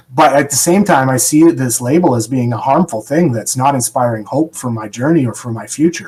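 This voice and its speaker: Over noticeable background noise, a man talks at a fairly quick pace with hardly any pauses and ordinary pitch variation. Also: medium pitch for a man. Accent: Canadian. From Canada. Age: 40s. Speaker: person in long-term recovery. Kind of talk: podcast interview.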